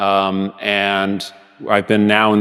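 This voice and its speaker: A man with a fairly low pitch and monotone, flat intonation, with music in the background. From Tijuana, Mexico / San Diego border region. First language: Spanish. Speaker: company president, manufacturing services. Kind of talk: panel discussion. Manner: hesitant, many fillers.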